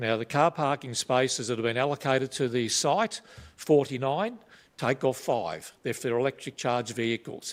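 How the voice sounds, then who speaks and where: A man with an Australian accent speaks at a medium pitch and moderate pace with ordinary pitch variation, in a dry, close sound with no echo on a very clean recording with a silent background. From Australia, Melbourne (North Coburg). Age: 60s. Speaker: retired police officer, local resident. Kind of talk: public submission at council meeting.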